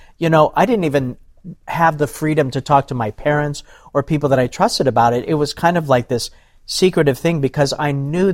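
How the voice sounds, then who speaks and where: A man with an American accent talks at a fairly quick pace in a normal speaking voice. His pitch is fairly high and his intonation fairly even. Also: very clean recording, silent background. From US, various states (Navy family). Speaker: ministry speaker. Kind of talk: testimony.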